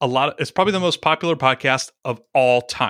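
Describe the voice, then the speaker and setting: A man with an American accent speaks in a bright, sharp tone, the sound dry and close with no echo, on a very clean recording with a silent background. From US South, small-town Georgia. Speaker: podcasting coach and YouTuber. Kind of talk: casual interview chat.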